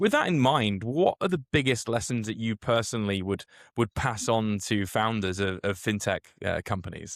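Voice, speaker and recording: In a British accent, a man speaks at medium pitch and a moderate pace with ordinary pitch variation, on a very clean, dry, close recording with a silent background and no echo. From Britain. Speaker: podcast host. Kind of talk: interview.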